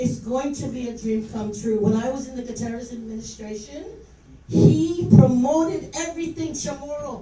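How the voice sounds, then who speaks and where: A woman speaks at a moderate pace with a high pitch. There is audible echo from the room. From Guam. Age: 60s. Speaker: public official speaking at hearing. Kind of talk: public hearing testimony. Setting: public hearing with audience. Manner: unscripted, passionate.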